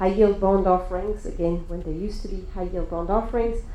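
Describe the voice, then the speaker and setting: With noticeable background noise and audible echo from the room, a woman talks at a fairly quick clip. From France. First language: French. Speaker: lawyer. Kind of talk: panel discussion.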